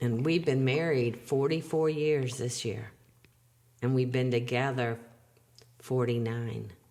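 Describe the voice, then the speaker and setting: A woman with a very deep, low voice speaks at a fairly slow pace, with fairly even intonation and long, frequent pauses. Audible room echo and noticeable background noise fill the recording. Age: 60s. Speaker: grandmother being interviewed. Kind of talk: casual family interview. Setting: playroom home studio.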